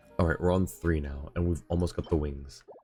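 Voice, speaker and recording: Over music in the background, a man talks in a very deep, low voice with fairly even intonation. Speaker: streamer. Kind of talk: casual live-stream commentary while gaming.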